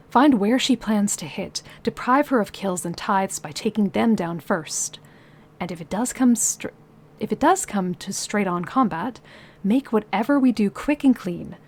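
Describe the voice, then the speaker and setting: Her voice is medium in pitch and somewhat breathy, with lively intonation. The woman keeps a moderate pace while her loudness swings widely. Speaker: streamer. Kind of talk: reading aloud; casual chat. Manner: halting.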